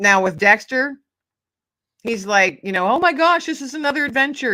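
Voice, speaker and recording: A woman with a high pitch speaks in a raised, projected voice with a bright, sharp tone. Her pace is moderate, and her pitch swings very widely. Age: 50s. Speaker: author and podcast host, guest. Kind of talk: casual interview chat.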